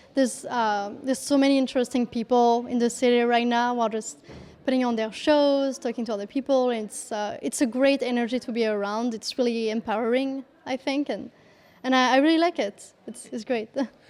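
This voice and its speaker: The speaker talks with a French accent at a fairly quick pace. The intonation stays fairly even. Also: woman, high pitch for a woman. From France. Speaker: comedian. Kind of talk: interview. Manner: halting, many fillers.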